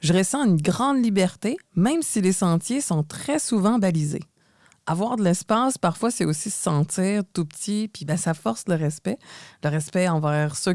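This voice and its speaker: Recorded dry and close with no echo, a woman speaks at a fairly slow pace in a medium pitch that makes very wide swings. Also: very clean recording, silent background. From Quebec, Montreal. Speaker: podcast co-host. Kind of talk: scripted podcast conversation.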